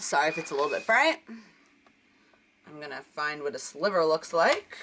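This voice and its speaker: Over noticeable background noise, a woman with a fairly low pitch talks at a moderate pace, showing ordinary pitch variation and big swings in loudness. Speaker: crafting video creator. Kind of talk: tutorial. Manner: chatty.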